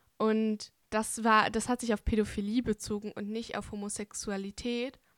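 A woman speaks at a fairly slow pace in a monotone, flat intonation, fairly high in pitch, in a very clean recording with a silent background and a dry, close sound with no echo. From Bavaria, Germany (Hungarian family). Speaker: podcast host. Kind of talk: casual interview.

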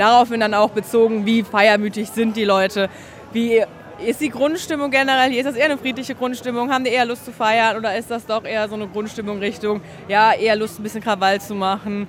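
Noticeable background noise sits under this voice. It races at a very fast pace with fairly even intonation. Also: woman, fairly high pitch for a woman. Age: 20s. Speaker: paramedic. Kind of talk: on-the-job interview. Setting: outdoors at a carnival crowd.

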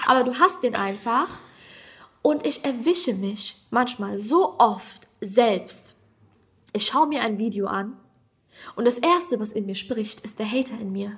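A woman speaks at a very slow pace with long, frequent pauses. Her intonation is lively, and her loudness swings widely. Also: fairly high pitch for a woman. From Germany, Hesse. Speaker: comedian. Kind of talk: casual chat.

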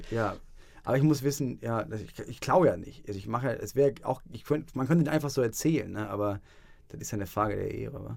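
The voice has vocal fry and big swings in loudness at a very fast pace. Long pauses come often. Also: man, medium pitch for a man, ordinary pitch variation. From northern Germany, Schleswig-Holstein. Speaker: podcast co-host. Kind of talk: casual chat.

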